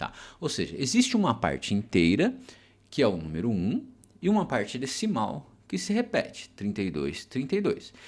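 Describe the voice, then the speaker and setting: A very clean recording of a man, with a silent background. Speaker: math teacher. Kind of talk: lecture. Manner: slow; hesitant fillers (é, tá).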